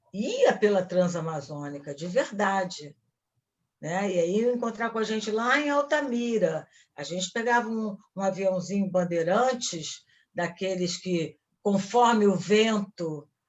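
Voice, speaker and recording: Speaking at a fairly slow pace, a woman with an ordinary speaking voice uses lively intonation at a medium pitch. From Brazil, Rio de Janeiro (Ipanema). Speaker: actress. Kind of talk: lecture. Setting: talk to film students.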